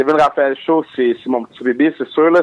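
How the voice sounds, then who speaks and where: A man's normal speaking voice at a moderate pace, with fairly even intonation and a dry, close sound free of echo. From Montreal, Quebec. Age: 20s. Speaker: comedian. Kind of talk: interview.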